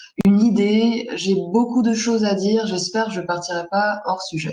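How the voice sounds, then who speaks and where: Audible room echo surrounds a woman with an Armenian accent who speaks at a fairly slow pace and medium pitch, her intonation fairly even. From Lebanon, Armenian diaspora. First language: Armenian (speaking French). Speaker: graphic designer. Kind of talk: presentation in a panel discussion. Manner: hesitant, many fillers.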